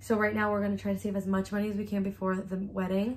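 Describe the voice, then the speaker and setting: A woman speaks at a medium pitch. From US, Mexican family. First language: Spanish. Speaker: YouTuber. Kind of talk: casual chat. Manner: animated.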